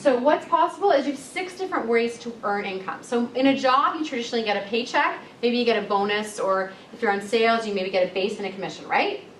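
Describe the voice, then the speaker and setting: The speaker has an enthusiastic tone, very wide pitch swings and a very fast pace, with noticeable background noise. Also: woman, fairly high pitch for a woman. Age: 20s. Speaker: entrepreneur and massage therapist. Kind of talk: live sales presentation to an audience. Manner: casual, enthusiastic.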